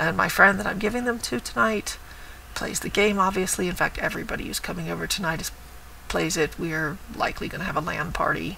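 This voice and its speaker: The speech moves at a very fast pace, with noticeable background noise behind it. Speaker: cross stitch vlogger. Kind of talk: casual show-and-tell vlog. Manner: lively.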